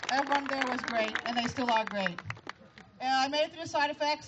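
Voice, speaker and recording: A woman's high voice comes through against clearly audible background noise. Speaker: cancer survivor speaker. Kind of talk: prepared speech read from cards. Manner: fast.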